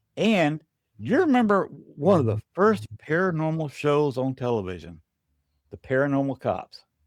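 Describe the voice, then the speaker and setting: This speaker has an American accent and very wide pitch swings, moving at a moderate pace. The recording is very clean with a silent background and a dry, close sound with no echo. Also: man, fairly high pitch for a man. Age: 60s. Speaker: paranormal investigator. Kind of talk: casual chat. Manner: halting.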